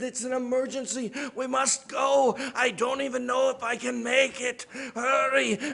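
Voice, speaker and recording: A man does a put-on character voice at an extremely high pitch, his intonation flat and monotone. He keeps a moderate pace. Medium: read story.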